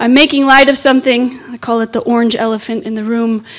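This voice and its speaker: Fairly high, monotone, flat female speech in an American accent at a fairly quick pace, over noticeable background noise. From United States. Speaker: legal scholar, invited lecturer. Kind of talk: lecture.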